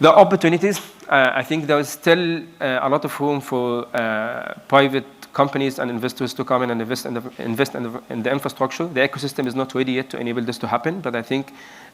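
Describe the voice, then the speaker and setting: Against noticeable background noise, a man speaks very fast at a medium pitch. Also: ordinary pitch variation. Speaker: energy and mobility executive, keynote speaker. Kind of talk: conference keynote talk. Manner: halting, many fillers and restarts.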